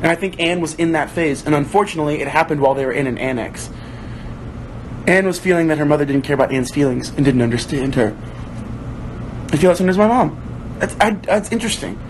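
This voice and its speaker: A man speaks at a very fast pace in a fairly high pitch with lively intonation, yet leaves long, frequent pauses. Noticeable background noise sits behind him. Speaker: actor hosting a book club livestream. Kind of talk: livestream chat, reading viewer comments aloud. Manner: casual, conversational.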